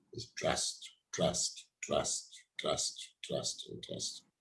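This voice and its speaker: Here a man is talking. His voice is somewhat breathy. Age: 60s. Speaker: HR coach and mentor, show host. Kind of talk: live-streamed interview.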